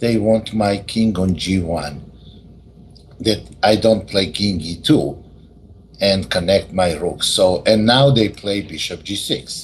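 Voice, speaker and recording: Audible room echo around a very slow, fairly low-pitched male voice. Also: ordinary pitch variation. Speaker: chess teacher. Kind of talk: lecture.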